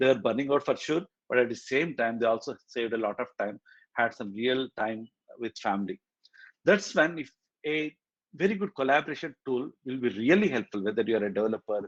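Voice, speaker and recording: This man has an unremarkable speaking voice at a medium pitch, talking at a fairly quick pace with lively intonation, in a dry, close sound with no echo and a quiet background. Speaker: tech community meetup organizer and speaker. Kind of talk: technical presentation. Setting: hybrid meetup, in person and online.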